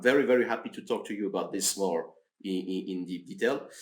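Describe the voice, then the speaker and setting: A man at a fairly quick pace, with lively intonation. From France. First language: French. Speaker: research officer, mathematician. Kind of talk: podcast interview. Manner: halting.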